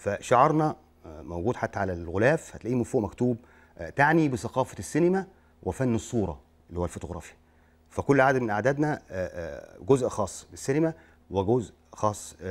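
Here a man speaks at a moderate pace. His pitch swings very widely. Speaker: guest. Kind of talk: interview answer. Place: studio.

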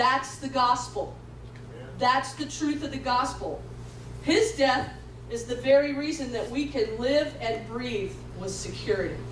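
Speaking in an animated tone at a fairly slow pace, a woman leaves long, frequent pauses, with audible room echo and light background noise. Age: 50s. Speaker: pastor. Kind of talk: sermon. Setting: church with congregation. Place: church.

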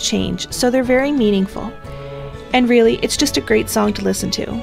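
Music plays in the background. A woman talks over it at a fairly quick pace. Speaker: fan video commentator. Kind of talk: ranking commentary narration.

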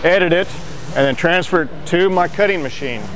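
A man talks at a fairly quick pace in a high voice for a man, with ordinary pitch variation over clear background noise.

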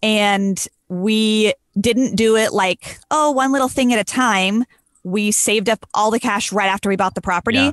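A woman's fairly high voice at a moderate pace, ordinary pitch variation, very even loudness, dry sound with no echo and a quiet background. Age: 30s. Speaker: wedding photographer. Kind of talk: casual chat. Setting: video call. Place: home room. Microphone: studio mic.

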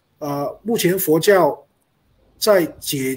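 A man speaks with ordinary pitch variation. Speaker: panel speaker. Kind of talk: panel discussion.

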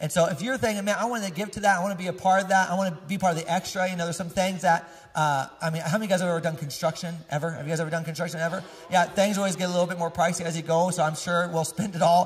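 Over light background noise, a man with a high pitch talks at a very fast pace with fairly even intonation. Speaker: pastor giving announcements. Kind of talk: casual church announcements to congregation. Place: church. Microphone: handheld.

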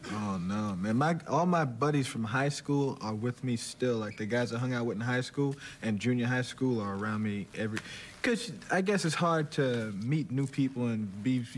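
A man speaks at a moderate speed, his pitch varying in an ordinary way, with light noise behind him. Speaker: talk show guest. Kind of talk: interview answer. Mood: relaxed, joking. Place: stage.

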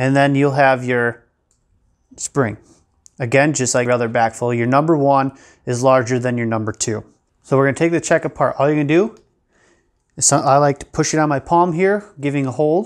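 The background is quiet while a man talks at a moderate pace. He leaves long, frequent pauses, with ordinary pitch variation. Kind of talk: tutorial. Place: workshop.

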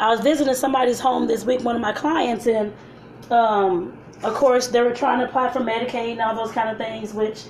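A woman talks at a fairly quick pace in a monotone, flat intonation. Light background noise and audible room echo surround her voice. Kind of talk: casual live-stream cooking chat. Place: kitchen. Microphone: phone near.

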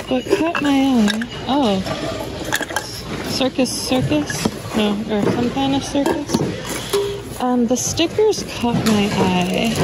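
The speech moves at a very slow pace. The sound is dry with no echo, but loud background noise fills the clip. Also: woman. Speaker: reseller thrift shopper. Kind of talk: casual vlog chat. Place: shop. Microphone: phone near.

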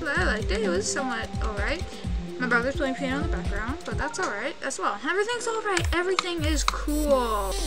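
A woman at a fairly quick pace, with music in the background. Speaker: gamer. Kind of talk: casual gameplay commentary. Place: home room.

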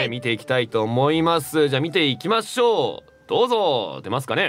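Upbeat in tone, a man speaks at a fairly quick pace with a fairly high pitch. His pitch swings very widely. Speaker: voice actor. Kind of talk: radio show talk. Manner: upbeat, casual. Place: studio. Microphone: studio mic.

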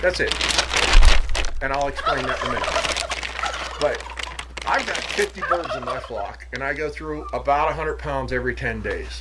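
A man speaks at a fairly slow pace amid loud background noise. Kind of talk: tutorial. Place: garden. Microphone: phone near.

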